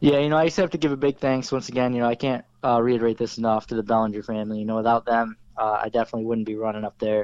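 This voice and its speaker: A man with an American accent and a medium pitch, very fast pace and fairly even intonation. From Oswego area, upstate New York. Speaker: race car driver. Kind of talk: interview.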